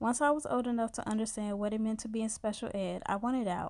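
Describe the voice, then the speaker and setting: An ordinary speaking voice from a woman in an American accent, fairly high in pitch, at a fairly quick pace. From US Midwest, Chicago South Side. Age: 20s. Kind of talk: scripted narration.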